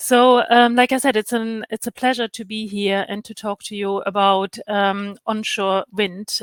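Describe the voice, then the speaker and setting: Speaking with a non-native accent, a woman uses a fairly high pitch and monotone, flat intonation with big swings in loudness and hardly any pauses, on a very clean recording with a silent background. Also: dry, close sound with no echo. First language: not English. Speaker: health and safety expert. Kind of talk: conference presentation. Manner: halting, many fillers.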